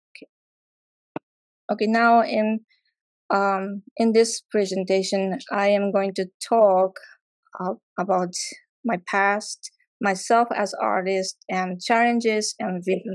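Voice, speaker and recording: A woman's very slow, medium-pitched speech in a Japanese accent, monotone and flat, with big swings in loudness and long, frequent pauses, in a dry, close sound with no echo and a quiet background. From Japan, near Tokyo. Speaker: artist. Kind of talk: artist talk presentation. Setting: live event with audience. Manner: halting, many fillers.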